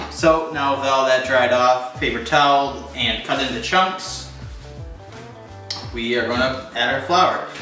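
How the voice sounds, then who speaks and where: A man speaks at a fairly slow pace with ordinary pitch variation. Music plays clearly behind him, and the room echo is audible. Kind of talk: cooking tutorial. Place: kitchen. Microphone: camera far.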